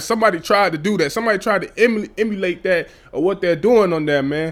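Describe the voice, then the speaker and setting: A man with a high pitch speaks at a very fast pace. His tone is animated, with ordinary pitch variation. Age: 20s. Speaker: podcast host. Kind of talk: casual solo commentary.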